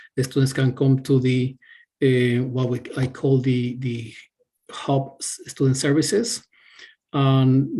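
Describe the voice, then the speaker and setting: With a Spanish accent, a man speaks in a somewhat breathy medium pitch and monotone, flat intonation. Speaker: university staff member answering student questions. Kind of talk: webinar Q&A. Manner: halting, many fillers and repetitions.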